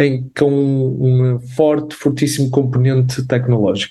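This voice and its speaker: A man talks at a fairly slow pace. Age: 30s. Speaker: doctor and health tech startup cofounder. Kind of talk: interview. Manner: halting.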